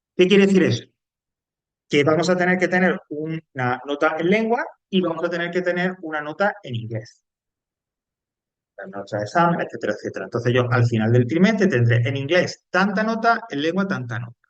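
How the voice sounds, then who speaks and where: A high-pitched man talking fairly quickly, with very wide pitch swings. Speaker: teacher. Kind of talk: lecture.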